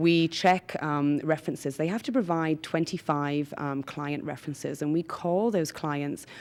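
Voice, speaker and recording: Recorded very cleanly against a silent background, a woman with a Geordie accent talks at a moderate pace and fairly low pitch with fairly even intonation. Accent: English, Geordie (noticeable). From northern England, Newcastle upon Tyne. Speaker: business founder. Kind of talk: interview.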